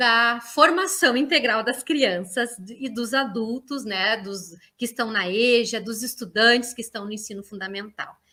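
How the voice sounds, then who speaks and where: This woman's voice is high-pitched, with a bright, sharp tone. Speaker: university professor and education researcher. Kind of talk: online lecture. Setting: online live stream. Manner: hesitant fillers, frequent 'né'.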